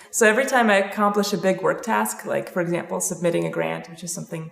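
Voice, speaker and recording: Noticeable background noise sits behind this recording. A woman with an American accent talks at a very fast pace. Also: hardly any pauses, big swings in loudness. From Belarus, then US from age ten. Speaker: professor. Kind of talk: casual introductions. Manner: hesitant, many fillers.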